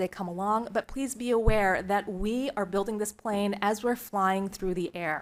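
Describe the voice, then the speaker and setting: On a very clean recording with a silent background, a woman speaks in a plain, everyday voice at medium pitch, keeping a moderate pace and fairly even intonation. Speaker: nonprofit fund board chair presenting to school board. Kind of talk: formal presentation. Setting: public board meeting.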